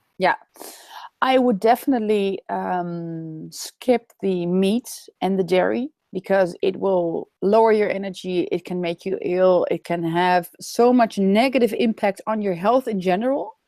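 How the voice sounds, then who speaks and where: The voice carries a Dutch accent and a dark, mellow tone, with ordinary pitch variation. It moves at a fairly slow pace in a dry, close sound with no echo. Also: woman, medium pitch for a woman. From Netherlands. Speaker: raw food expert. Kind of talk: webinar interview. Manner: halting.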